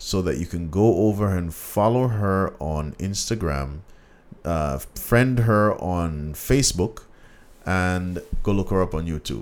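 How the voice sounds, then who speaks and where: Using a Jamaican accent, a man with a very deep, low pitch speaks at a fairly slow pace in an animated tone with ordinary pitch variation. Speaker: podcast host. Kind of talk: casual chat.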